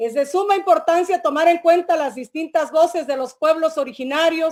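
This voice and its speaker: This woman's voice sits extremely high, with ordinary pitch variation. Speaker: government culture official. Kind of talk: formal closing speech. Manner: formal.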